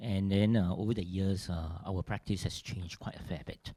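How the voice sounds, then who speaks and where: With a Mandarin accent, a man speaks in a dark, mellow tone at a fairly low pitch, the sound dry and close with no echo. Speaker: theatre director. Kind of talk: conference panel talk. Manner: halting, many fillers.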